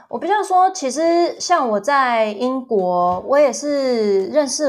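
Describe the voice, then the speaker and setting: Pitch swings very widely as the speaker goes at a very slow pace. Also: woman. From US (ages 2 to 11), then Taiwan. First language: English (speaking Chinese). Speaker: travel agency owner and former English teacher. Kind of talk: casual interview chat.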